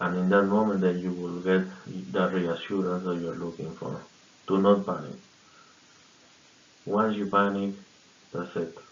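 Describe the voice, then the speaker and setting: A man with a very deep, low voice and a non-native accent, fairly even intonation, long and frequent pauses, and audible room echo. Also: moderate pace. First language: not English. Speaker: fraud prevention worker sharing tips. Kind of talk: informal awareness talk to camera. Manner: halting, many fillers and repetitions.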